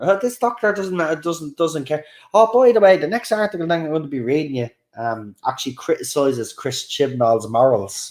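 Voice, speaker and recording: In a Dublin accent, a man with a fairly high pitch speaks at a moderate pace in an animated tone with very wide pitch swings, on a very clean recording with a silent background. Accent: soft Dublin. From Ireland, Dublin. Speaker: YouTube livestream host. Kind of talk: casual livestream chat reacting to comments. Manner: animated, hesitant with many fillers.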